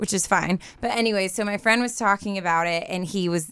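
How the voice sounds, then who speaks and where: Recorded very cleanly against a silent background, a woman with an American accent speaks at a moderate pace with ordinary pitch variation in an unremarkable speaking voice. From Southern California. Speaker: dating show contestant. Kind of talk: casual chat. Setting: studio.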